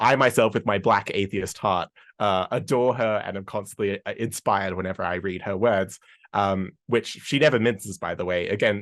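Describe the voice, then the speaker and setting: With an Australian accent, a man speaks in a fairly low pitch with fairly even intonation against a quiet background. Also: moderate pace. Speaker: history podcaster and tour guide. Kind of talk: conference presentation.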